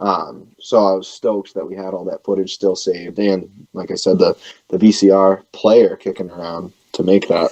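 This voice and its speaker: A man with a Boston accent talks at a moderate pace. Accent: Boston-area New England. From New Hampshire, near Boston. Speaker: punk band singer and bassist. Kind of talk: radio interview. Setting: radio show.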